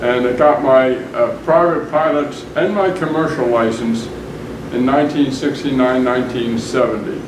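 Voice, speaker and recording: The speaker goes at a fairly slow pace with fairly even intonation. Noticeable background noise and audible room echo fill the recording. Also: man. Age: 80s+. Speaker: pilot, army veteran. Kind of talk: interview.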